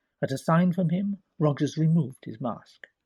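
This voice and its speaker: A man talks at a moderate pace, fairly high in pitch with ordinary pitch variation. His voice is somewhat breathy, and the sound is dry and close with no echo. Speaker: audiobook narrator. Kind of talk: audiobook narration of a crime story.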